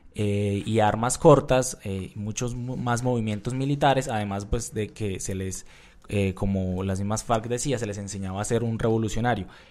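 A man speaks at a moderate pace in a fairly low pitch with fairly even intonation. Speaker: journalist. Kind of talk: news podcast discussion. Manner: halting, many filler sounds.

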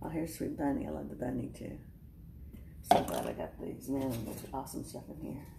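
The pace is moderate. Noticeable background noise runs underneath. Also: woman. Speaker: craft vlogger. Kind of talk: casual talk to camera, haul show-and-tell. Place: home room. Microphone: phone near.

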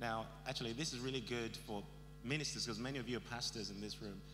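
A man speaking at a fairly quick pace, with music in the background. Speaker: guest preacher. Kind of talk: sermon. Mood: warm, lightly humorous. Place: hall. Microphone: handheld.

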